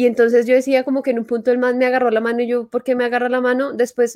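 A woman speaks at a very fast pace in a high voice with a dark, mellow tone. The recording is dry and close with no echo. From Colombia, Antioquia. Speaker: podcast co-host. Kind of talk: casual chat.

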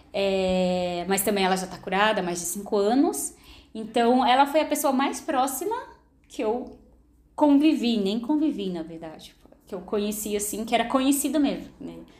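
In a room with audible echo, a woman with a fairly high pitch speaks at a moderate pace, with lively intonation and big swings in loudness. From São Paulo, Brazil (moved from Maranhão at seven). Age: 30s. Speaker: cancer survivor and model. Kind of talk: testimony.

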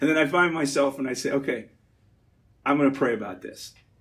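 A man is speaking. His voice is somewhat breathy. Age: 50s. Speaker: Navy veteran and energy businessman giving a church talk. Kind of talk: talk at a church gathering.

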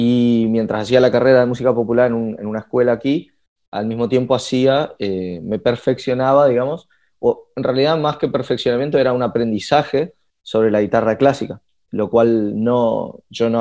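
Speaking at a moderate pace, a man has a medium pitch and ordinary pitch variation. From Argentina, Resistencia (Chaco, northeast). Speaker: singer, guitarist and music producer. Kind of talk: casual chat. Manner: halting, many repetitions and fillers.

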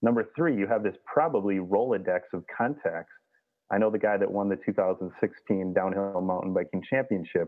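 At a moderate pace, a man with an American accent speaks in a normal speaking voice, fairly low in pitch with ordinary pitch variation. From Minnesota. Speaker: outdoor gear journalist and publisher. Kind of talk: interview.

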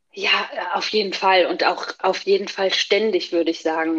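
Against a quiet background, a woman with a normal speaking voice talks at a medium pitch and a moderate pace. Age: 40s. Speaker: working mother. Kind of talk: interview.

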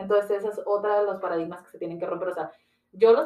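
Her voice is a plain, everyday voice. This woman's pitch sits in the medium range and varies in an ordinary way. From Ciudad Juárez, Chihuahua, northern Mexico. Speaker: entrepreneurship and branding consultant. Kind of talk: interview.

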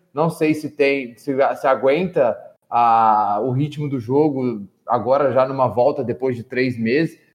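With a normal speaking voice, a man talks at a fairly high pitch and fairly even intonation. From Minas Gerais, Brazil. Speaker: football coach, panelist. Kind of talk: casual football discussion podcast.

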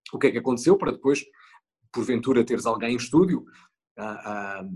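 Medium in pitch with ordinary pitch variation, a man talks at a fairly quick pace. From rural northern Portugal. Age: 40s. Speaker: TV news anchor. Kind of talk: interview. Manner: halting.

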